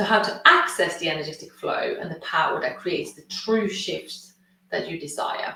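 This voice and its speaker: Moderate pace with a Swedish accent. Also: woman. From Sweden. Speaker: consciousness coach and healer. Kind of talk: webinar masterclass presentation.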